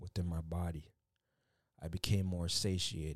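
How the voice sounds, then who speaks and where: Heard in a very clean recording with a silent background and a dry, close sound with no echo, a man with a very deep, low pitch speaks at a moderate pace, somewhat breathy, with fairly even intonation. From Canada, Jamaican family. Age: adult. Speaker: podcast host. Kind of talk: casual monologue. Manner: hesitant, many fillers.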